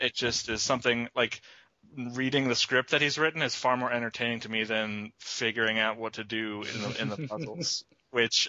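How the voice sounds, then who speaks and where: Speaking at a moderate pace with fairly even intonation, a man uses an unremarkable speaking voice of medium pitch. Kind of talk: casual podcast conversation.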